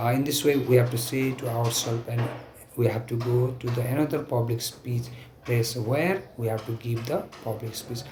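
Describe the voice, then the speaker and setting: Against noticeable background noise, a man at medium pitch keeps a moderate pace and fairly even intonation. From Nepal. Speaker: stuttering self-help speaker. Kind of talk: talk to camera. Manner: stuttering, halting.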